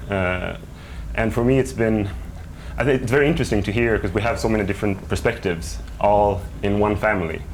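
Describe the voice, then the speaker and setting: A fairly low-pitched man with a Swedish accent, very fast pace, long and frequent pauses, ordinary pitch variation, audible room echo and noticeable background noise. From Sweden. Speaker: writer's adult child in family interview. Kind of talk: TV interview.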